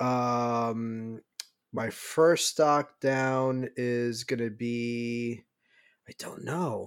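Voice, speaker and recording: This very clean recording, with a silent background, features a man with a medium pitch. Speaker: fan podcast co-host. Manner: casual, profane.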